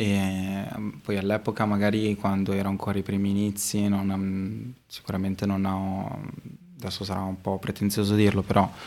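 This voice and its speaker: A man's fairly low, dark, mellow voice, flat and monotone in intonation, at a fairly quick pace. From Modena, Emilia-Romagna, Italy. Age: 20s. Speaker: street artist and illustration teacher. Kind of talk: casual interview chat. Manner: hesitant, many fillers.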